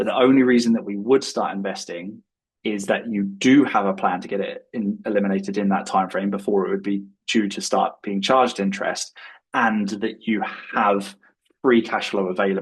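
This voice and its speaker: A man speaks with a British accent at a moderate pace. His intonation is fairly even. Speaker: money coach. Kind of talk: live webinar Q&A. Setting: live online event.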